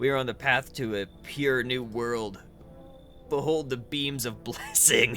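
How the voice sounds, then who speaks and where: Someone does a put-on character voice at a fairly slow pace over clear background noise. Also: man, medium pitch for a man. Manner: preachy, sermonizing.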